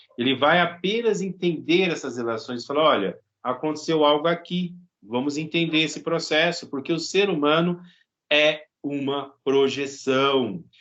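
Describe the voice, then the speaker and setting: In a normal speaking voice, the speaker goes at a fairly slow pace with ordinary pitch variation. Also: man, fairly high pitch for a man. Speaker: psychology professor and psychologist. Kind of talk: lecture.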